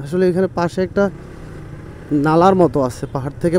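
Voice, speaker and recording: A man with a fairly high pitch keeps his intonation fairly even while noticeable background noise runs underneath. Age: 30s. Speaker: travel vlogger. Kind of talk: vlog narration.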